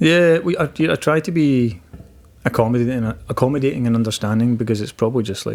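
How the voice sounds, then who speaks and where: In a Glaswegian accent, a man talks at a very fast pace and medium pitch. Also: lively intonation. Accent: Glaswegian Scottish. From Scotland, Glasgow. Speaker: stand-up comedian. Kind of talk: casual chat. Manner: soft-spoken; halting, many repetitions.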